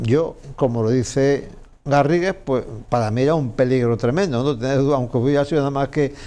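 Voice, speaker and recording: The man's pitch is medium. His tone is dark and mellow. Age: 70s. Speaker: businessman; interview guest. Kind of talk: interview. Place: studio.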